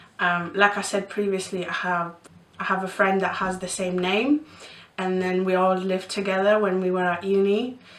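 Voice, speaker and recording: A woman's medium-pitched, monotone, flat voice at a moderate pace, over noticeable background noise. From Poland (Bytom, near Katowice), moved to East Yorkshire at 11. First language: Polish. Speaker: vlogger. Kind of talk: casual Q&A vlog. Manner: hesitant, many fillers.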